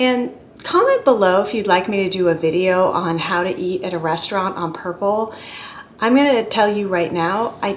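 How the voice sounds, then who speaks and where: A woman keeps a moderate pace and ordinary pitch variation over light background noise. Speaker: weight-loss vlogger. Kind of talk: casual vlog chat. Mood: earnest, expressive. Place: home room. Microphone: phone near.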